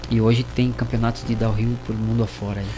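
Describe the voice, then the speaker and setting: A man talks at a fairly quick pace in a flat monotone. Noticeable background noise sits under his voice. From Brazil, São Paulo then interior city. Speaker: skateboarder. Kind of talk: casual radio interview.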